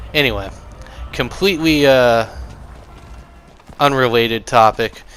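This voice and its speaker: Against noticeable background noise, a man of medium pitch speaks fairly slowly with ordinary pitch variation. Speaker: gaming video creator. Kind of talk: gameplay commentary. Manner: casual with frequent fillers.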